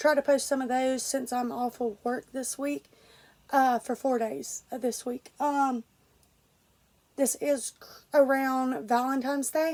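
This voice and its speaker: A woman speaks in a high voice. Her intonation stays fairly even. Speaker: vlogger. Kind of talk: casual vlog. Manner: halting with many fillers.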